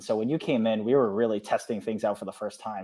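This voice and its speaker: This man has an unremarkable speaking voice, medium in pitch with ordinary variation, over a quiet background. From eastern Canada. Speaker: PhD student and former program mentor. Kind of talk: casual podcast interview.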